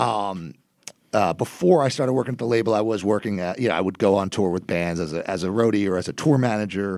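Talking at a very fast pace, a man uses an American accent. His voice is fairly low, with ordinary pitch variation. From New Jersey. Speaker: copy editor. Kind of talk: casual chat.

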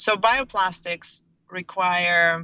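A woman speaks with a Russian accent. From Russia, St. Petersburg. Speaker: startup founder. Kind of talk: interview.

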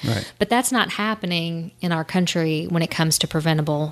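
This woman has an unremarkable speaking voice, pitched fairly low. She moves at a moderate pace with ordinary pitch variation. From Indiana, small town. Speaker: trial attorney. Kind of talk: casual interview.

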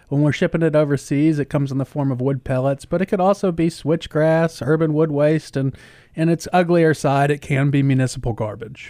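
With a Southern US accent, a man speaks at a fairly high pitch in a dark, mellow tone with ordinary pitch variation. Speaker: county sustainability director. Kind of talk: casual chat. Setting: studio.

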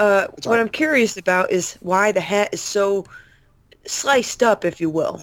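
Delivered at a fairly slow pace, this is an unremarkable speaking voice. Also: woman, medium pitch for a woman, ordinary pitch variation. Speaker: podcast co-host. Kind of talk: casual chat.

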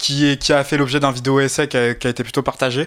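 On a very clean recording with a silent background, a man with a normal speaking voice and fairly high pitch speaks at a fairly quick pace. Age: 20s. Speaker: political science student. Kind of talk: casual chat.

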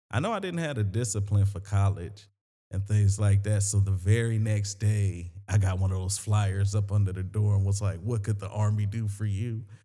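With a South Carolina accent, this man talks at a moderate pace in a fairly low, somewhat breathy voice with a dark, mellow tone and flat, monotone intonation. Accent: Southern US (South Carolina). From US South, Sumter, South Carolina. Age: 30s. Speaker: comedian. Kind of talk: casual chat.

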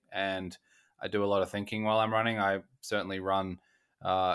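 This man has an Australian accent and a fairly low pitch. He talks at a fairly quick pace in a monotone, flat delivery. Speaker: betting podcast host. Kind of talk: interview.

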